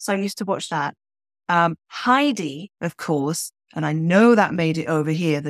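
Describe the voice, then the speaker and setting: In a very clean recording with a silent background and a dry, close sound with no echo, a woman speaks in a British accent at a fairly low pitch. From Switzerland. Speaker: novelist. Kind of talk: interview.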